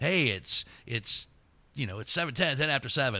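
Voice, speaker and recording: A man's booming, put-on character voice at medium pitch, fairly slow, with lively intonation. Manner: polished, booming.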